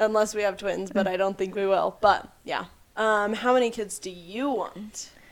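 A woman with a normal speaking voice talks at a moderate pace, her medium pitch carried in fairly even intonation. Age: 20s. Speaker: podcast co-host. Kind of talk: casual chat.

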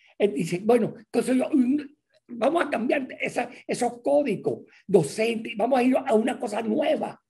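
A man speaks fairly slowly with lively intonation, his extremely high pitch carrying a dark, mellow tone. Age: 80s+. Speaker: university rector. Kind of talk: panel discussion.

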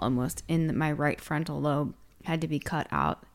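The recording is very clean with a silent background, and the woman's intonation stays fairly even. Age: 40s. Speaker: breath work and cold exposure instructor. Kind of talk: casual chat.

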